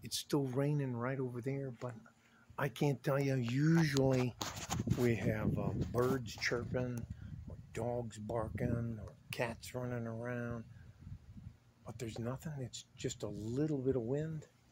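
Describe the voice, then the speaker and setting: A man with a medium pitch speaks at a fairly slow pace, somewhat breathy, with fairly even intonation and long, frequent pauses. The sound is dry with no echo, though noticeable background noise is present. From Scotland, Glasgow. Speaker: vlogger. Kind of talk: casual vlog monologue. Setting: outdoors. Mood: hushed, wondering. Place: garden. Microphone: phone near.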